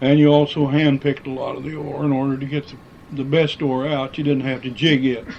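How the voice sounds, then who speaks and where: A man speaks with a Midwestern American accent at a moderate pace. His pitch is fairly high, and his intonation is monotone and flat. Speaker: former miner and quarry worker. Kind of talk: oral history interview answer.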